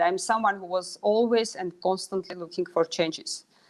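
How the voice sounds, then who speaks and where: A woman speaks in a Russian accent at a medium pitch. Her pitch variation is ordinary. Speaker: pharmaceutical executive. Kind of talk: interview.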